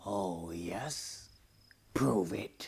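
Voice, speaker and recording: A man growls in a put-on character voice. His pitch is very deep and low. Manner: growling, menacing, taunting.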